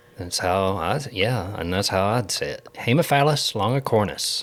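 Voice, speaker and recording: A man with an Ozark accent and a fairly low pitch. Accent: hillbilly, Ozark Southern. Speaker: agricultural extension agent and podcast co-host. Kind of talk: casual podcast chat. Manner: informal, halting at times.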